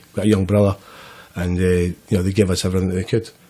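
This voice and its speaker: A man in a Scottish central belt accent speaks with a very deep, low pitch, a dark, mellow tone and monotone, flat intonation. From Scotland, Grangemouth near Glasgow. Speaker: person in addiction recovery. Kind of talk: podcast interview, life story. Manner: casual, hesitant with repetitions.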